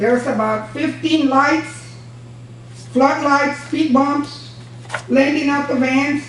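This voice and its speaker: A woman speaks at a very slow pace in an American accent. Audible room echo and noticeable background noise surround her. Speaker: former county judge. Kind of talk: public comment at county meeting. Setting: county commissioners' court meeting. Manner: loud; forceful.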